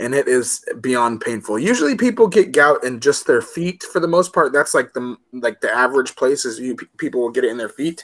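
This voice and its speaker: A man's fairly high, lively voice in an American accent, with hardly any pauses. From Chicago, US Midwest. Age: 30s. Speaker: live stream host. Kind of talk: casual chat. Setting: live video stream. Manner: halting, many repeated words and fillers.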